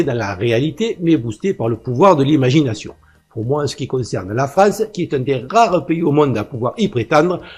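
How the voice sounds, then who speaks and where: Somewhat breathy, a man's fairly high voice moves through very wide pitch swings. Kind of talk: political commentary monologue. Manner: fast.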